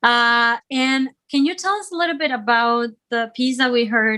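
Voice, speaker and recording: Speaking at a moderate pace with a Spanish accent, a woman shows ordinary pitch variation. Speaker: online music show host. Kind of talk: interview. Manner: halting, many fillers.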